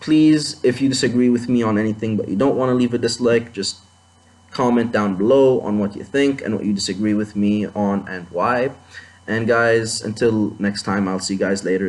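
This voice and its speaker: A non-native accent at a moderate pace, with ordinary pitch variation. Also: man. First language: not English. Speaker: anime commentator. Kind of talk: video commentary monologue. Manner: halting, many fillers and restarts.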